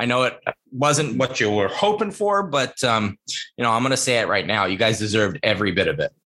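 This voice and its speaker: A man with a bright, sharp tone, very wide pitch swings, very even loudness and a fairly quick pace. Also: medium pitch for a man. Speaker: co-host. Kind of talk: casual chat.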